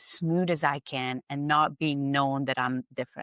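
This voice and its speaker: Recorded very cleanly with a silent background and a dry, close sound with no echo, a woman with a Hungarian accent speaks in a very deep, low pitch with fairly even intonation. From Hungary. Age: 50s. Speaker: spa owner, esthetician. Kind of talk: podcast interview.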